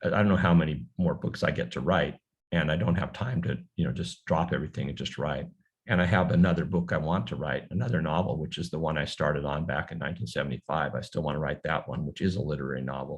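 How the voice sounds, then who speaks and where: A man with an American accent, very deep, low pitch and vocal fry, at a very fast pace with ordinary pitch variation. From US mainland. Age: 70s. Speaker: novelist. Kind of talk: book talk Q&A. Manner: halting, many repetitions.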